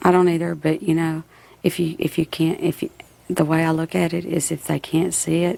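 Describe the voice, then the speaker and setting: In a flat, monotone delivery, a woman talks at a fairly quick pace with a fairly low pitch. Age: 40s. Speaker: reality show contestant. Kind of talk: casual chat. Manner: halting.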